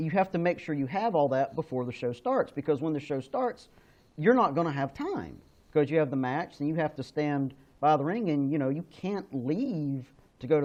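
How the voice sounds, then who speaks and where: A man talks at a fairly quick pace in an ordinary speaking voice. His pitch is fairly high and his intonation lively. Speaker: wrestling ring announcer. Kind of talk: interview answer.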